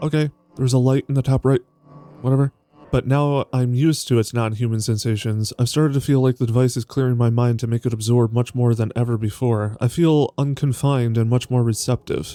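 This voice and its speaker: Recorded dry and close with no echo, a man speaks at a fairly quick pace and medium pitch, with a dark, mellow, relaxed tone, fairly even intonation and very even loudness. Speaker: vtuber. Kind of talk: reading game text aloud with commentary. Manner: chill, relaxed, casual.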